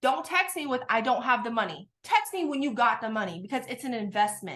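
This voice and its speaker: Her pitch is high for a woman and swings very widely. She speaks at a fairly quick pace. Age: 20s. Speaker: network marketing recruiter. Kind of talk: sales pitch. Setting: video call. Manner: fast; animated.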